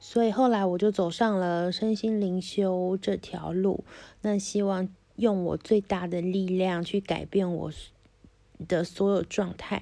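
A woman at medium pitch, monotone and flat in intonation, at a very slow pace. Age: 30s. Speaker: podcaster. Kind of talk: personal storytelling monologue. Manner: hesitant, many fillers.

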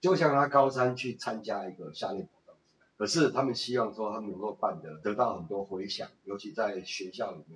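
A man speaks in an unremarkable speaking voice at a medium pitch and moderate pace. His intonation is lively and his loudness swings widely. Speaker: retired businessman and tour guide. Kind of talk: casual interview.

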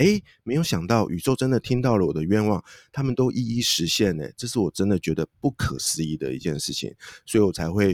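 A man with a fairly low voice speaks at a fairly quick pace, his pitch swinging very widely, in a dry, close recording with no echo. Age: 40s. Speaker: author and career coach. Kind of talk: interview. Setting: online remote recording.

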